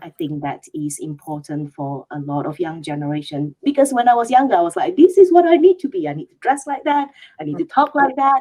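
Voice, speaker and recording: A woman with a Malaysian accent speaks at a fairly quick pace with hardly any pauses, her high pitch swinging very widely and her loudness shifting a lot. Her tone is dark and mellow, and the sound is dry and close with no echo. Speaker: HR leader. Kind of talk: panel discussion.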